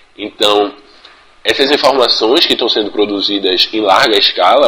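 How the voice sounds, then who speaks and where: The man's delivery is moderately paced. Behind him, there's noticeable background noise. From Pernambuco, Brazil. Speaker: university student and community radio communicator. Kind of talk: pre-recorded talk.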